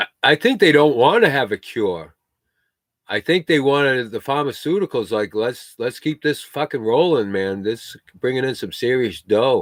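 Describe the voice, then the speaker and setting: A man with an American accent speaks at medium pitch and a moderate pace, using lively intonation. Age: 60s. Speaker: homesteader livestreamer. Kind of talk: casual chat. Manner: halting.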